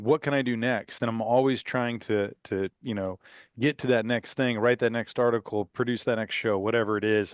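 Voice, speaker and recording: With an American accent, a man has an ordinary speaking voice, medium in pitch and fairly even in intonation, at a moderate pace. The sound is dry and close with no echo, over a quiet background. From Texas, Houston. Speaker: podcast host. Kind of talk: podcast interview.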